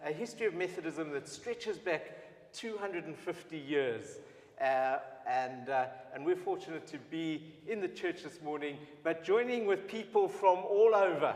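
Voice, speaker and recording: With lively intonation and a high pitch, a man talks at a moderate pace over noticeable background noise. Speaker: Methodist preacher and event presenter. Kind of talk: event welcome address. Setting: church livestream.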